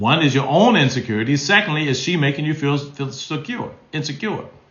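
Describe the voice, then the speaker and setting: The speech moves at a moderate pace, and room echo is audible. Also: man. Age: 60s. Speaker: relationship advice host. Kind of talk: live stream Q&A. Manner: animated.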